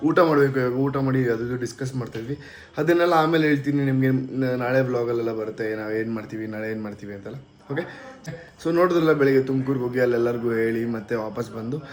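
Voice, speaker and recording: Audible room echo and noticeable background noise, with ordinary pitch variation in the speech. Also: man, medium pitch for a man. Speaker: vlogger. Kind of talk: casual vlog talk to camera.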